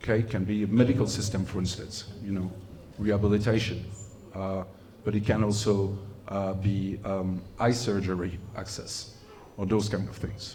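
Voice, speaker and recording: Spoken with a non-native accent in a monotone, flat intonation at a moderate pace, the clip has music in the background and audible room echo. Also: man, fairly low pitch for a man. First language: not English. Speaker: humanitarian inclusion specialist. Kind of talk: lecture.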